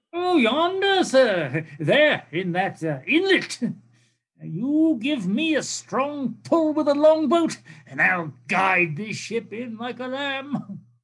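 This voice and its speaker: The speaker uses a put-on character voice with very wide pitch swings. The delivery comes at a very slow pace. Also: man, extremely high pitch for a man. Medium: stage play. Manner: hesitant, stammering 'uh' fillers.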